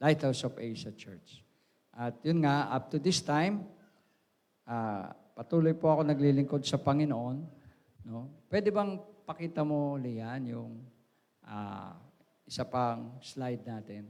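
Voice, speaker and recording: Talking at a fairly slow pace, a man with medium pitch uses lively intonation, big swings in loudness and long, frequent pauses. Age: 60s. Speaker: pastor. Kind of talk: sermon. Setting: church. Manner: halting.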